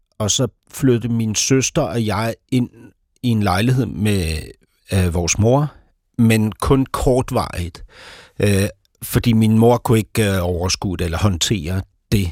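A man talks at a very slow pace, leaving long, frequent pauses. The sound is dry and close, with no echo. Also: fairly low pitch for a man, ordinary pitch variation, very clean recording, silent background. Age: 50s. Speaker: author and playwright. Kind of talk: casual chat. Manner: halting.

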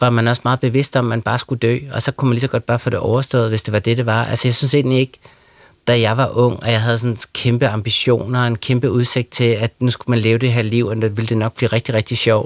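A man talks at a very fast pace with monotone, flat intonation and very even loudness. The sound is dry and close with no echo. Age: 40s. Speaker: writer. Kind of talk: radio interview. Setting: studio.

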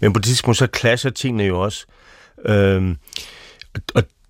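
A man speaks at a fairly low pitch with ordinary pitch variation, recorded very cleanly against a silent background. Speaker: pastor. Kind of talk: panel discussion. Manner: halting.

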